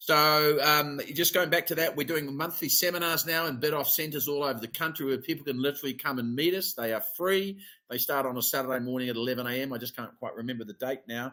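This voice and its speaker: A man with a New Zealand accent and a bright, sharp tone, fairly high in pitch with ordinary variation, at a very fast pace. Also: hardly any pauses. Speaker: immigration advisor. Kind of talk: webinar presentation. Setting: online webinar. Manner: casual, filler-heavy.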